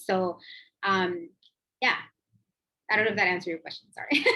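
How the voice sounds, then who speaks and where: A woman speaks with a Spanish accent. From Mexico, Oaxaca. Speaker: immigration lawyer. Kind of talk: panel Q&A answer.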